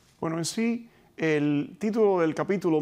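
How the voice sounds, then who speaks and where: A man's fairly high voice with lively intonation and a Cuban accent, over a quiet background. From Cuba (Pinar del Río), raised in Hialeah, Florida. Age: 50s. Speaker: retired police officer and book co-author; guest. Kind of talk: interview. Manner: halting with many fillers. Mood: calm, reflective storytelling. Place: studio. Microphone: lapel.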